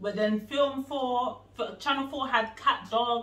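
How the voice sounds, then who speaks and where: There is audible room echo and light background noise. Through it, a woman speaks at a high pitch. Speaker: guest. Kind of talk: casual game chat. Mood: playful, laughing, nostalgic. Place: home room. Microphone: camera far.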